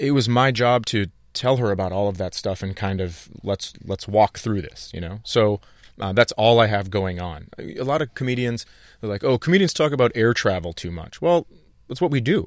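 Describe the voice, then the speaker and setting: In a very clean recording with a silent background, a man with an American accent speaks at a moderate pace, his pitch fairly low and his intonation lively. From northern Minnesota, US Midwest. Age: 40s. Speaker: stand-up comedian. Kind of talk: casual interview chat. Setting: radio studio.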